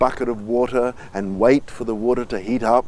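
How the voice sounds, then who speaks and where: A man with a plain, everyday voice talks at a moderate pace, his medium pitch held in fairly even intonation. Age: 60s. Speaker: spiritual teacher. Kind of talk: life story told to camera.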